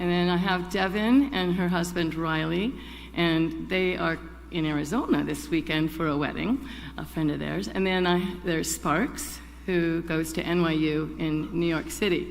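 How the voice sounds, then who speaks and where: A woman's moderately paced speech is marked by a clear room echo. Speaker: congregation member, chalice lighter. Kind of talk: personal reflection and poetry reading. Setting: church service.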